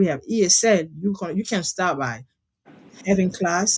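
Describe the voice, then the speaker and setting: A woman talks at a medium pitch and a moderate speed, with a somewhat breathy quality. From DR Congo, Kinshasa. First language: French. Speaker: founder of children's nonprofit, former lawyer. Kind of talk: interview, personal story. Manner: halting.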